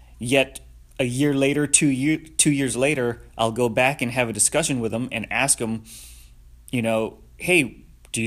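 Recorded very cleanly over a silent background, a man talks at a moderate pace and medium pitch in an ordinary speaking voice. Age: 30s. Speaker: podcast host, motivational speaker. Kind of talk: solo podcast monologue. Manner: casual, with fillers and restarts.

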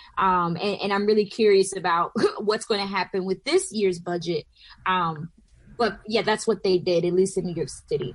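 The speaker has an American accent and an ordinary speaking voice. Delivery is at a moderate pace with fairly even intonation. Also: woman, medium pitch for a woman. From US South, southwest Georgia. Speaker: pastor and organizer. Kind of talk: radio panel discussion.

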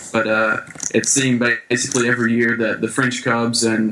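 A man with an American accent speaks fairly quickly at a medium pitch, his intonation monotone and flat. Noticeable background noise runs behind him. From US small town. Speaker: baseball player and coach abroad. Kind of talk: casual interview.

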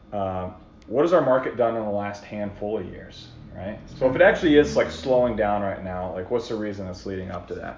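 A man talks at a fairly quick pace in a normal speaking voice, pitched fairly low. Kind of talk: casual chat.

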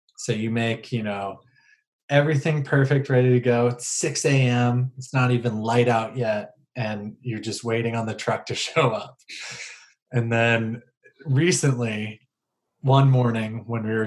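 A man with a plain, everyday voice speaks at a fairly slow pace, his medium pitch carried on fairly even intonation. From Maryland, US (Howard County, between Baltimore and DC). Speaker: winemaker. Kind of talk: casual interview.

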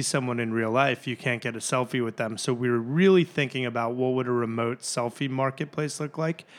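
A man with a plain, everyday voice and medium pitch speaks at a moderate pace with ordinary pitch variation and hardly any pauses, in a very clean recording with a silent background. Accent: American. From Chicago area (Glenview). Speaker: startup founder. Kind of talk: interview. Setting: office conference room.

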